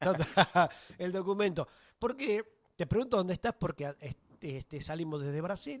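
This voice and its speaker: A man's high-pitched voice with lively intonation at a moderate pace, dry and close with no echo. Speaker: radio host. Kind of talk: radio interview.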